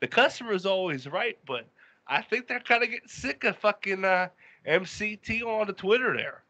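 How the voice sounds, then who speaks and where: A man talks in a high pitch at a moderate pace, with ordinary pitch variation. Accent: American. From Western Pennsylvania, Pittsburgh area. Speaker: podcast co-host. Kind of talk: casual chat.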